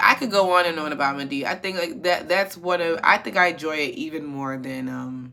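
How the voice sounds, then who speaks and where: A woman's animated voice at a fairly quick pace, with hardly any pauses and ordinary pitch variation. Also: fairly low pitch for a woman. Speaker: commentary YouTuber. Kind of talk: casual commentary. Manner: halting.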